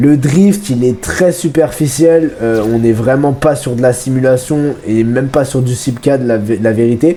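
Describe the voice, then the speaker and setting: Against noticeable background noise, a man speaks at a medium pitch and a fairly slow pace. He hardly pauses, with ordinary pitch variation. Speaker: gaming YouTuber. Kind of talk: game review commentary. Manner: casual, with frequent hesitations.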